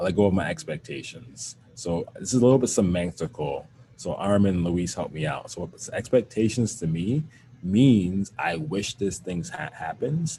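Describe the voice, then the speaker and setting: Somewhat breathy and dark, mellow in tone, a man talks at a moderate pace in a fairly low pitch that swings very widely. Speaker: wellness educator and teacher. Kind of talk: workshop answer to audience question.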